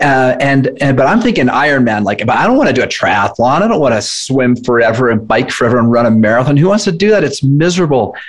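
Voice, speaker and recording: Over noticeable background noise, a man talks at a very fast pace with a fairly high pitch and very wide pitch swings. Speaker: fitness nutrition coach, entrepreneur. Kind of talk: casual interview.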